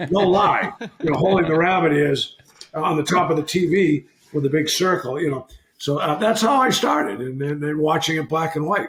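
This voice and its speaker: With a Boston accent, a man talks at a moderate pace in a fairly high pitch, his pitch varying in an ordinary way. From Massachusetts, Boston area. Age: 60s. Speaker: retired hockey player. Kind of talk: casual chat.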